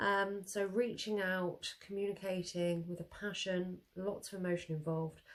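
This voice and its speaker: At a fairly slow pace, a woman with a medium pitch speaks in a monotone, flat intonation. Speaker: tarot reader. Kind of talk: tarot reading.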